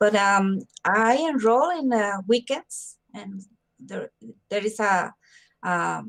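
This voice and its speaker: A woman's medium-pitched voice in a Spanish accent, very slow, with long, frequent pauses, lively intonation and big swings in loudness. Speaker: mental health promoter. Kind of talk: interview. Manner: halting.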